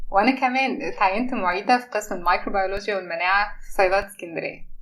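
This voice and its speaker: A woman speaks at a medium pitch and a fairly quick pace, with ordinary pitch variation. Noticeable background noise runs underneath. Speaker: pharmacy lecturer and podcast co-host. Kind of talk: scripted introduction.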